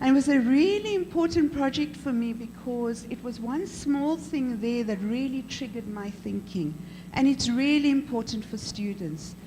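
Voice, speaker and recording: Audible room echo surrounds a woman who speaks at a moderate pace with a fairly high pitch and lively intonation. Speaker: professor and head of an arts school. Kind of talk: panel discussion. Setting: conference panel. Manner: loud; animated.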